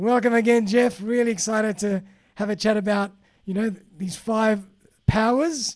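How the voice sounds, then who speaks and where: Pitched high, a man speaks at a moderate pace with fairly even intonation. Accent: Australian. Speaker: podcast host. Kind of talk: interview. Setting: remote call.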